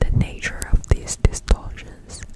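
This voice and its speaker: A woman whispers over noticeable background noise. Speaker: ASMR content creator. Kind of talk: whispered book reading, ASMR. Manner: whispered, soft.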